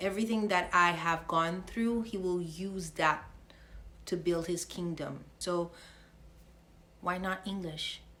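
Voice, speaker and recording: The voice is bright and sharp, with fairly even intonation at a very slow pace. Long, frequent pauses break it up, and room echo is audible. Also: woman, fairly low pitch for a woman. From Haiti. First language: French and Haitian Creole. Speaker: faith vlogger. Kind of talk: casual faith vlog monologue. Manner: halting, stumbles over words.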